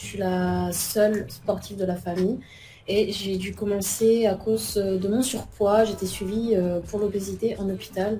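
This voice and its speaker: A woman speaks at a medium pitch in a monotone, flat intonation. Music plays in the background. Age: 20s. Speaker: athlete and police officer. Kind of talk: interview. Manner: hesitant, many fillers.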